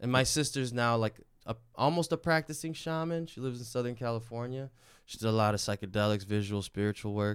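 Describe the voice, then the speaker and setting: An ordinary speaking voice from a man at a medium pitch, fairly quick in pace with ordinary pitch variation, on a very clean recording with a silent background. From Chicago, born in Mexico. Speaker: comedian. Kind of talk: storytelling in casual chat.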